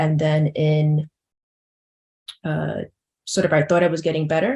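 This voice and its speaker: Somewhat breathy and very deep and low in pitch, a woman speaks with a New York accent. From Bronx, New York. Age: 40s. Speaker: patient advocate. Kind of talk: personal testimony in webinar. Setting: virtual symposium. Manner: fast.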